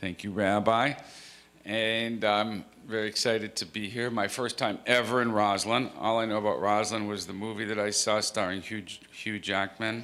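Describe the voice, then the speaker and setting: Audible room echo surrounds a man whose bright, sharp tone stays monotone and flat. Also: fairly low pitch for a man, moderate pace. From Canada. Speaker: rabbi and author. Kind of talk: author talk to congregation.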